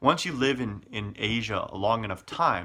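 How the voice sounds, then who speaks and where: A man with an American accent speaks at a moderate pace in a bright, sharp tone with ordinary pitch variation. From Chicago, US Midwest. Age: 40s. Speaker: expat vlogger. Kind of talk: casual personal vlog. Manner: halting, many fillers.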